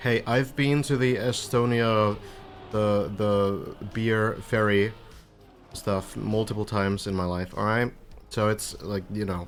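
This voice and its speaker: Music plays in the background as a man talks at a very slow pace. His fairly low voice keeps a fairly even intonation. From Finland. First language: Finnish. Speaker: video game stream caster. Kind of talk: live commentary. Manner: casual.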